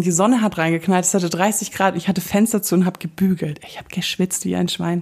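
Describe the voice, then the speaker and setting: Over noticeable background noise, a woman speaks at a very fast pace. Her medium-pitched voice sounds animated, with ordinary pitch variation. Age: 30s. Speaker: podcast host. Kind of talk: casual monologue.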